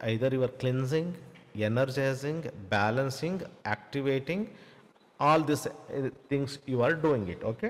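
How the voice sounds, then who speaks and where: With a Kannada accent, a man speaks at a moderate pace. His intonation is lively. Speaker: spiritual teacher. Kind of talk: Q&A session answering viewer questions. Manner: halting, many fillers.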